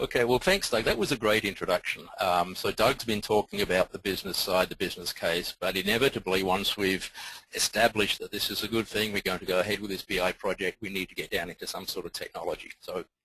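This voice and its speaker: Very fast speech with hardly any pauses, in an American accent, with a dry, close sound and no echo. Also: man. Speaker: software company presenter. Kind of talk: webinar presentation.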